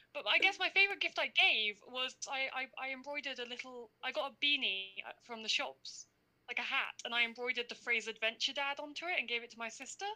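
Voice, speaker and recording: With lively intonation and big swings in loudness, a woman talks at a fairly quick pace in a raised, projected, high-pitched voice with a bright, sharp tone. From London. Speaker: university student. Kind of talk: casual chat.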